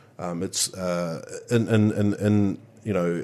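Against a quiet background, a man in a New Zealand accent speaks at fairly low pitch with fairly even intonation. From New Zealand, Manawatu. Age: 20s. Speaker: party official. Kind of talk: casual chat. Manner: halting.

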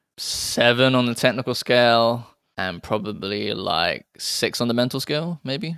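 At a fairly slow pace, a man with a British accent speaks at medium pitch with ordinary pitch variation, on a very clean recording with a silent background. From England. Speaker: rock climber and crypto investor. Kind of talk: casual chat.

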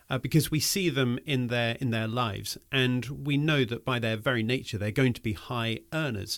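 Here a man talks in a plain, everyday voice at a moderate pace, with ordinary pitch variation and hardly any pauses. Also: medium pitch for a man. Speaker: podcast host. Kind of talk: scripted intro and casual interview.

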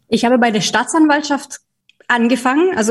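A woman talks in a somewhat breathy voice with a slight Bavarian accent. Her pitch variation is ordinary. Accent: slight Bavarian tinge. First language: not German (speaking German). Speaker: trade association executive. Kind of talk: interview. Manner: hesitant, many fillers.

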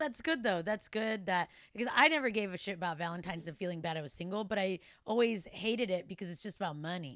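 A woman's medium-pitched voice, very fast in pace, with lively intonation. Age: 30s. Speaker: podcast host. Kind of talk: casual interview chat.

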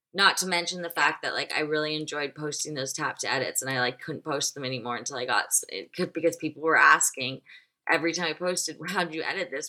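With an American accent, a woman talks at a very fast pace in a very deep, low pitch, her tone bright and sharp, her intonation fairly even and her loudness swinging widely. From US South, Nashville. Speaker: fashion blogger and influencer. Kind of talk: casual interview chat.

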